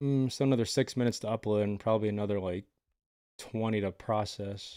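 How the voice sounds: The tone is dark and mellow, as well as clear and smooth, with ordinary pitch variation. Delivery is fairly quick, on a very clean recording with a silent background. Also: man, fairly low pitch for a man.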